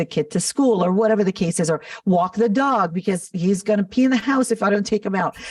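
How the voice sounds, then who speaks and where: In a Californian accent, a woman speaks at a fairly quick pace with ordinary pitch variation. Her voice is somewhat breathy, and the sound is dry and close with no echo. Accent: General American (California). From Los Angeles, US. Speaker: makeup artist and business founder. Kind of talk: podcast interview.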